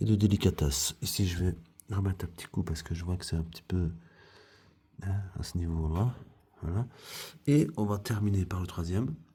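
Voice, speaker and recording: A man speaks at a moderate pace with a very deep, low pitch and a dark, mellow tone, somewhat breathy, using ordinary pitch variation and long, frequent pauses. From Belgium, foreign family background. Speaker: craftsman / DIY youtuber. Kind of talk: tutorial. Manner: casual, hesitant with many fillers.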